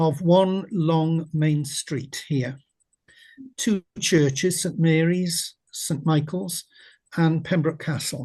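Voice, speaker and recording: The voice carries a south-west Welsh accent and a dark, mellow tone. It moves at a very slow pace with ordinary pitch variation over a quiet background. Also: man. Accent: Welsh English (south-west Wales). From Wales. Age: 80s+. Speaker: retired teacher and local historian. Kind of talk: lecture. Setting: video call.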